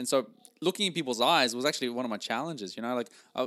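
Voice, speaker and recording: In a very clean recording with a silent background, a man with a medium pitch sounds enthusiastic and animated, the sound dry and close with no echo. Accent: Norwegian. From Norway. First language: Norwegian. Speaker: podcast host and sales coach. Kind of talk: solo podcast monologue, motivational coaching. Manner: enthusiastic, animated.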